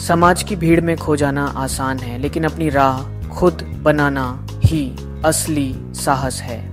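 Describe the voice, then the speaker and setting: Very wide pitch swings from a man at medium pitch, with music in the background. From India. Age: young. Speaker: voiceover narrator. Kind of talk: spiritual explainer narration.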